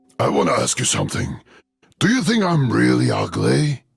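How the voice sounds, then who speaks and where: A man uses a raspy, put-on character voice at a fairly quick pace. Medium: read story.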